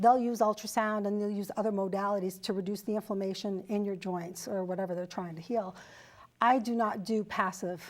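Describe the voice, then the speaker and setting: A woman with an ordinary speaking voice talks at a fairly quick pace, her medium pitch carrying fairly even intonation. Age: 60s. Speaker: fitness and wellness trainer. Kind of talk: interview.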